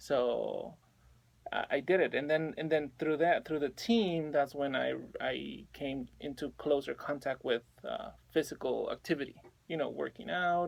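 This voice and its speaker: A man with a Spanish accent at a fairly slow pace. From Mexico City, Mexico. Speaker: personal trainer. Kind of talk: radio interview.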